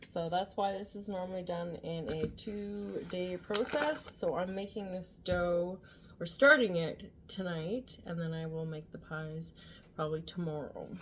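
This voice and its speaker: A soft-spoken woman talks at a fairly slow pace with a fairly low pitch. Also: ordinary pitch variation. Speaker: home cooking vlogger. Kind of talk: tutorial. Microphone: no external mic, viewers found it too quiet.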